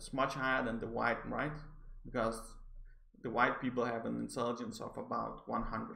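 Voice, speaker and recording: A man with a Danish accent at a moderate pace. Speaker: psychology graduate reviewing articles. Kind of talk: educational video review. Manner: stammering, hesitant.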